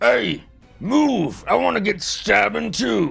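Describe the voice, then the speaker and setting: Doing a put-on character voice at a medium pitch, a man speaks fairly slowly with faint music in the background. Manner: gruff.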